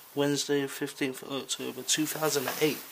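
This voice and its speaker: Over noticeable background noise, he speaks at a moderate pace. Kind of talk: casual vlog commentary. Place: home room. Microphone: phone near.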